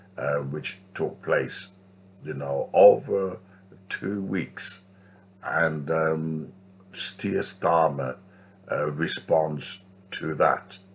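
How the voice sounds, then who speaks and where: Very slowly, a man with a very deep, low pitch speaks over noticeable background noise. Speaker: street preacher. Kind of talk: vlog commentary. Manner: halting.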